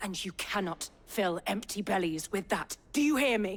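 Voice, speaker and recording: Putting on a growling character voice, a woman speaks at a medium pitch and a moderate pace. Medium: video game. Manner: insistent.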